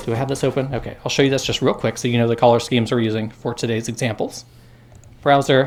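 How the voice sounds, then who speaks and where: A man with an American accent, very fast and monotone with flat intonation. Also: medium pitch for a man. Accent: Midwest accent with a little Southern. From US Midwest, Indiana. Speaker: university lecturer. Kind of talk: lecture. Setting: classroom with students. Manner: casual, conversational.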